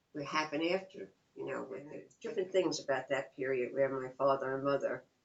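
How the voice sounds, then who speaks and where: In a New York accent, a woman talks at a fairly quick pace with a very deep, low pitch. Her loudness swings widely while her pitch variation is ordinary. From New York, Long Island and Queens. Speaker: interviewee, mother of the interviewer. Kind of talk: oral history interview. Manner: halting.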